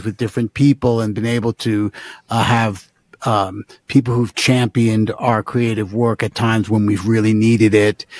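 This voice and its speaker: At a moderate pace, the speaker delivers monotone, flat intonation with an American accent, in a dry, close sound with no echo. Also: man. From New York. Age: 60s. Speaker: musician and producer. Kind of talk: interview. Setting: home studio. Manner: halting, many fillers and restarts.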